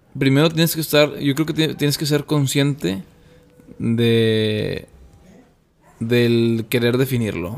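A man with ordinary pitch variation. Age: 20s. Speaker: podcast guest, social entrepreneur. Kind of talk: casual interview chat.

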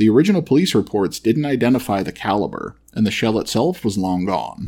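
In a normal speaking voice, a man with an American accent talks at a fairly quick pace with a fairly low pitch and lively intonation on a very clean recording with a silent background. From US Midwest, Metro Detroit. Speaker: true crime podcast host. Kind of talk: scripted narration.

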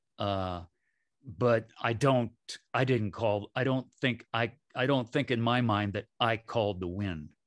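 Against a quiet background, a man with an American accent speaks at a fairly slow pace. He has a normal speaking voice, medium in pitch, with ordinary pitch variation. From US Midwest. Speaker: shamanic healer. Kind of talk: casual chat.

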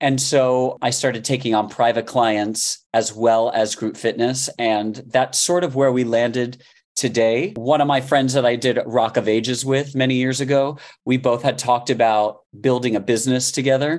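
Here is a man with an American accent and an ordinary speaking voice, at medium pitch and a moderate pace. His intonation is fairly even, and the background is quiet. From Miami, Florida. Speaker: fitness coach. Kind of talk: interview.

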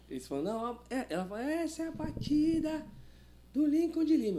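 A man's voice with long, frequent pauses, audible room echo, and noticeable background noise. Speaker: cavaquinho teacher and musician. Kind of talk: casual interview chat. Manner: halting.

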